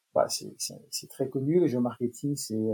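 The man has a fairly high pitch and a dark, mellow tone. He talks at a moderate pace with ordinary pitch variation. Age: 60s. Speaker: marketing expert. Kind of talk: interview. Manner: hesitant, many fillers.

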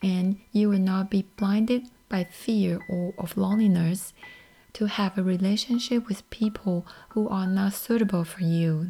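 Speaking with a Chinese accent, a woman talks at a fairly slow pace in a medium pitch, her intonation fairly even. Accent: Mandarin-accented English. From Taiwan. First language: Mandarin. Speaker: podcast host. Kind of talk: solo podcast talk.

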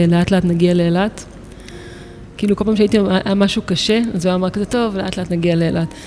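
Against noticeable background noise, a woman with a medium pitch speaks at a fairly quick pace in a monotone, flat intonation. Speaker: photographer and artist. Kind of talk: interview. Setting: art gallery.

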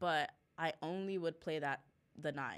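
Very cleanly recorded against a silent background, a woman speaks with a Spanish accent. Her intonation is monotone and flat. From El Paso, Texas and Juarez, Mexico. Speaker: college soccer player. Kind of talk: casual interview chat. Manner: casual, filler-heavy.

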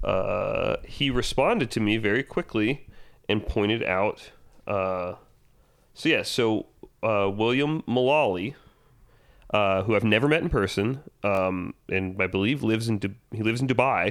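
An unremarkable speaking voice: a man at medium pitch, talking fairly slowly with ordinary pitch variation and very even loudness. The recording is very clean, with a silent background. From US South, Georgia. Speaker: screenwriter, podcast co-host. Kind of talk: casual chat.

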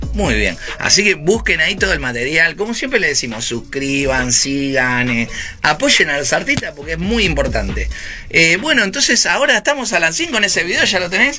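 A man with a Rioplatense accent at a moderate pace, with noticeable background noise. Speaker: online radio host. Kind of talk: casual interview.

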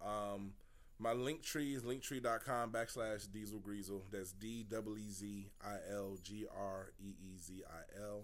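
Through audible room echo, a man with an American accent and a fairly low pitch keeps his intonation fairly even. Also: fairly slow pace. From Detroit, Michigan. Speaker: comedian. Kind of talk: casual chat.

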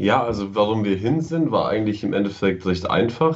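Lively intonation marks a man's fairly low voice as he speaks at a moderate pace, with audible room echo around him. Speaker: travel blogger, computer science student. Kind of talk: casual chat.

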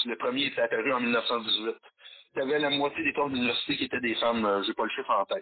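A man's very fast delivery at a very even loudness. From Quebec, Valleyfield. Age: 50s. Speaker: metal musician and history teacher. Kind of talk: casual interview. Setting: phone call.

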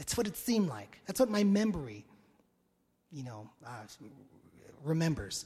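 A dark, mellow voice moves in very wide pitch swings, broken by long, frequent pauses. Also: man, fairly high pitch for a man, moderate pace. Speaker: pastor. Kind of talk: sermon. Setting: church. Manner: energetic.

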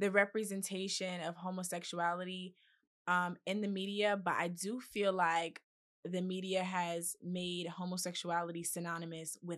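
Monotone, flat intonation at a moderate pace. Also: woman. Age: 20s. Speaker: blogger and podcaster. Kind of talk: casual chat. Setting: studio.

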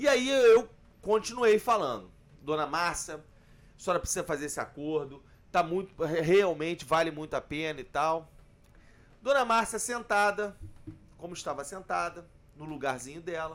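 A high-pitched man talks at a moderate pace in an animated tone with lively intonation. His loudness swings widely, and he takes long, frequent pauses. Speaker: labour lawyer. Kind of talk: casual chat. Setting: bar table.

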